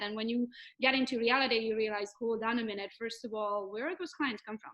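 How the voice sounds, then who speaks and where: A woman with a Hungarian accent and a fairly high pitch, talking at a very fast pace. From Romania, Hungarian. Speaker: real estate agent. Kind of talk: podcast interview. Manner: animated.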